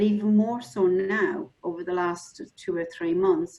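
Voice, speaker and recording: In an Irish accent, a woman speaks at a medium pitch. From Ireland. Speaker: mental health specialist. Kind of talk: webinar panel discussion.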